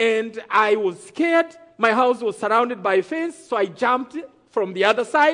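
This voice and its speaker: With an extremely high pitch, a man speaks at a moderate pace in a bright, sharp, animated and dramatic tone with lively intonation. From Rwanda. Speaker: testimony speaker, genocide survivor. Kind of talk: testimony storytelling to a live church audience. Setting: stage with audience. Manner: animated, dramatic, builds suspense with rhetorical questions; preacher-like, audience call-and-response.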